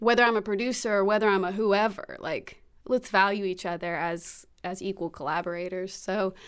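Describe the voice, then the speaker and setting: A woman with an American accent at a moderate pace, in a normal speaking voice. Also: very clean recording, silent background. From Alabama (Alabaster), US South. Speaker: actor and producer. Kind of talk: interview.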